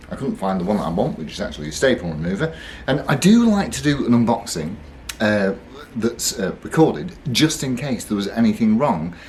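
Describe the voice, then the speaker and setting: A man speaks at a fairly quick pace in a somewhat breathy, medium-pitched voice with very wide pitch swings. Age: 60s. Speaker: guitar reviewer. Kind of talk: unboxing video. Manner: hesitant, many fillers.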